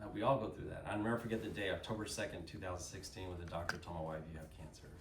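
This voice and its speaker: Over noticeable background noise, a man with an American accent talks at a very fast pace in a very deep, low pitch with ordinary pitch variation. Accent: slight Texan, mostly y'all. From Texas, Dallas. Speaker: company speaker at a sales event. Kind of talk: motivational talk to an audience. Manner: animated.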